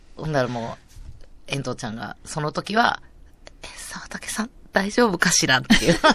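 A woman speaks with a very deep, low pitch and a bright, sharp tone at a moderate pace. Her pitch swings very widely, her loudness swings a lot, and she takes long, frequent pauses. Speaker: radio comedian host. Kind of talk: casual chat.

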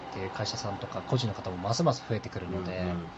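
There is noticeable background noise as a man talks at a very fast pace with ordinary pitch variation. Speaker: CEO of a YouTube creator management company. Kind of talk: interview conversation.

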